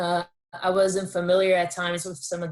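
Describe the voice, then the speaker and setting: On a very clean recording with a silent background, a woman with a Brazilian accent speaks in a fairly low voice. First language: Portuguese. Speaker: entrepreneur, former college athlete. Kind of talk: workshop talk.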